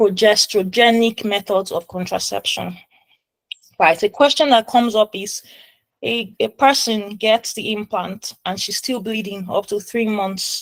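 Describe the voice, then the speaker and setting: Dry and close with no echo, an unremarkable speaking voice comes from a woman speaking slowly-ish, at a fairly slow pace, in a fairly high pitch with fairly even intonation. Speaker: medical exam tutor. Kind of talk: tutorial. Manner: casual.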